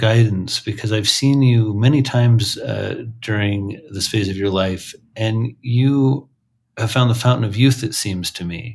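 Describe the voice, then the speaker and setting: A man's medium-pitched, somewhat breathy voice with ordinary pitch variation, on a very clean recording against a silent background. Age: 40s. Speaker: psychiatrist and podcast host. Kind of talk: interview. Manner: halting.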